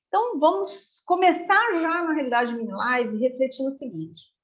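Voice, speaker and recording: Her pitch high, a woman speaks with very wide pitch swings. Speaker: corporate trainer. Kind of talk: online training talk. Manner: fast.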